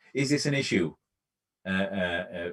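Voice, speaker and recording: With a non-native accent, a man speaks in a fairly low pitch and fairly even intonation. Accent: nondescript foreign. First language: not English. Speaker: hiring manager on a cyber security panel. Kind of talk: panel discussion. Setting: remote live stream panel. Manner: halting.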